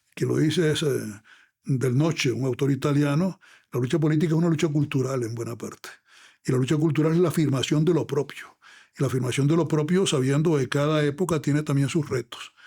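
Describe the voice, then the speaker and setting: A man speaks at a fairly quick pace with a dark, mellow tone and somewhat breathy delivery. The intonation stays fairly even, and the recording is very clean with a silent background. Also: fairly high pitch for a man. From Venezuela, Zulia state. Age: 80s+. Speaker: lawyer and former congressman. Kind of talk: long-form podcast interview.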